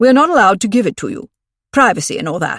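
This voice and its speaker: This is a put-on character voice with a growling sound. It is fairly high-pitched and rushes along at a very fast pace. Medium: read story. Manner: weighty, suspicious.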